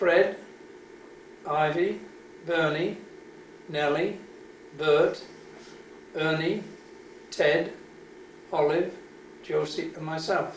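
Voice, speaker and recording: With audible room echo, a man speaks very slowly in a high, monotone, flat voice, taking long, frequent pauses. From Wales, Cardiff. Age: 70s. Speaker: army veteran. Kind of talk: oral history interview. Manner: halting.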